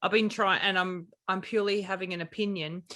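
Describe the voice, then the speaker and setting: A woman speaks with an Australian accent at a fairly quick pace. Her tone is bright and sharp. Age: 40s. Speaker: podcast co-host. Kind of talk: casual chat.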